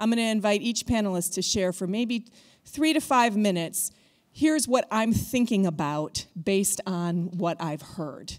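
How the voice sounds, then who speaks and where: A woman at a medium pitch and moderate pace, with lively intonation. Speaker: panel moderator. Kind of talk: panel moderation. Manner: loud.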